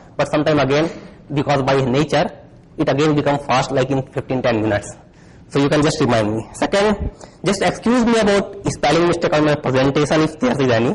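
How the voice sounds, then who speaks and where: A man with an Indian accent talks at a very fast pace, his pitch fairly high and his intonation lively. His loudness stays very even, and background noise is noticeable. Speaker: security researcher. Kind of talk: conference talk. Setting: stage with audience.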